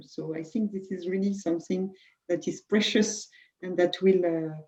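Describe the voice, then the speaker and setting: A woman speaks in a French accent at a moderate pace. Her fairly low voice has a dark, mellow tone. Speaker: HR director. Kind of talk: webinar panel discussion. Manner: halting.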